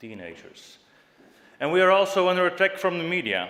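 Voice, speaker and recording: A man talks at a moderate pace with a Flemish accent. Audible room echo surrounds his voice. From Flanders, Belgium. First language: Dutch (Flemish). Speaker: youth party leader, political speaker. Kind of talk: political speech. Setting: stage with audience in a hall. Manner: impassioned, rousing.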